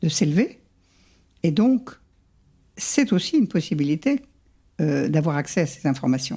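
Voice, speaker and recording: Her pitch fairly low and swinging very widely, a woman speaks in a somewhat breathy, dark, mellow tone with long, frequent pauses. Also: fairly slow pace, very even loudness. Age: 70s. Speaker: psychogenealogist. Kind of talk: interview.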